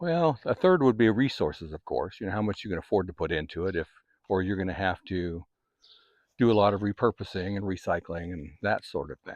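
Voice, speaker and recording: A man talks at a fairly quick pace with a fairly low pitch. His is a normal speaking voice with ordinary pitch variation. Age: 60s. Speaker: gardening channel host. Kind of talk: casual talk to camera. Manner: informal, conversational with fillers.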